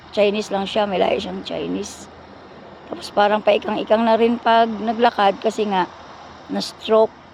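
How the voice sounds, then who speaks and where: Noticeable background noise sits behind a woman with a fairly high pitch. She speaks at a moderate pace in monotone, flat intonation. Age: 60s. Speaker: vlogger. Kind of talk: personal storytelling. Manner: casual, rambling with fillers.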